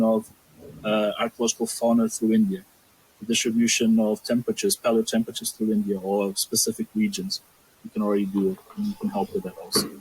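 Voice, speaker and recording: A very fast male voice with a dry, close sound and no echo. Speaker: archaeological scientist presenting a database. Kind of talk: academic discussion.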